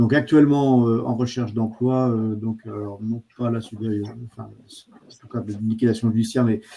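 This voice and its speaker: Speaking at a medium pitch, a man keeps to a flat monotone. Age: 60s. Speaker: trainee. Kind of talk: self-introduction. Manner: hesitant, many fillers.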